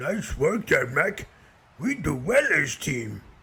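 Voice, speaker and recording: A man uses a put-on character voice, raspy and high-pitched. He moves at a fairly slow pace with very wide pitch swings. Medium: machinima. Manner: simple, broken grammar, talks about himself in third person.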